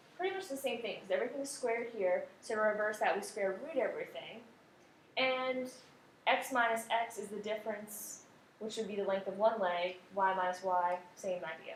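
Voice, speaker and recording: A woman with a fairly high pitch and ordinary pitch variation, at a moderate pace, amid audible room echo. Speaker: math teacher. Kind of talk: tutorial.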